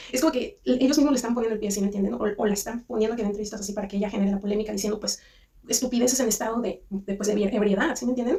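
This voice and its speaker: Against noticeable background noise, a woman with a Mexican accent talks at a very fast pace in a fairly high voice, her intonation fairly even. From Mexico. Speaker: commentary youtuber. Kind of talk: casual commentary monologue. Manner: halting, many restarts.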